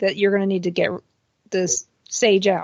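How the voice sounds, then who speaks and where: With an ordinary speaking voice, a woman talks at a fairly quick pace and a medium pitch. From Baltimore, US. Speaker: paranormal radio host. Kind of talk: casual chat. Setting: radio show.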